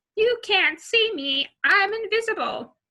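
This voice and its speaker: A squeaky put-on character voice at an extremely high pitch speaks at a fairly slow pace. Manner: silly, playful.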